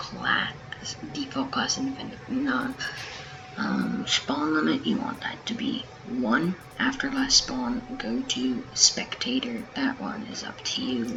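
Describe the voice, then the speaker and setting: Quiet speech at a very slow pace plays with music in the background. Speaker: gaming YouTuber. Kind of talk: tutorial. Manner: casual, hesitant with many ums.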